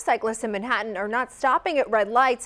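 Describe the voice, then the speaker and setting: Noticeable background noise sits behind a woman talking at a fairly quick pace. Her voice is fairly high, with ordinary pitch variation. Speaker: television news anchor and reporter. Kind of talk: broadcast news anchoring and field reporting. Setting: studio news anchor desk.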